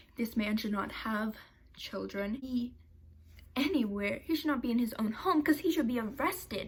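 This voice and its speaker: Her voice is high-pitched with lively intonation. The woman speaks in an animated tone. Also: moderate pace. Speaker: YouTuber. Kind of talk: commentary video.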